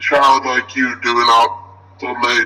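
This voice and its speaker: A man puts on a character voice at a medium pitch. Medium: game stream. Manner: polite, old-fashioned, smooth.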